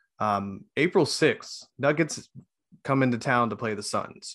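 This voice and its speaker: A man talks at a medium pitch with ordinary pitch variation. It is an unremarkable speaking voice. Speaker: sports podcast co-host. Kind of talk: casual chat. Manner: jokey, banter.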